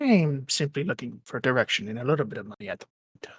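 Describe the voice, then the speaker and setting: The speaker uses a put-on character voice at a low-to-middle pitch. The delivery comes at a very fast pace. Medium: actual play. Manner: measured, somber.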